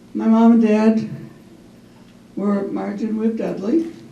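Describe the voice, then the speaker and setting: Spoken at a fairly slow pace with an American accent, the voice carries audible room echo. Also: woman. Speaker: family business owner. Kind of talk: community talk. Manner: halting.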